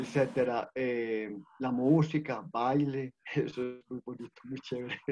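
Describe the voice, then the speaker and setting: In an ordinary speaking voice, a man at medium pitch talks at a fairly slow pace with fairly even intonation, the sound dry and close with no echo. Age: 60s. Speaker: social worker. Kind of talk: online panel presentation.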